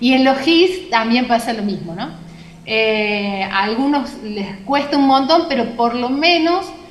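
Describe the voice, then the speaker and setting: At a very slow pace, a woman speaks with a high pitch and very wide pitch swings. Audible room echo surrounds her voice. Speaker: university lecturer. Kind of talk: lecture. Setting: video call.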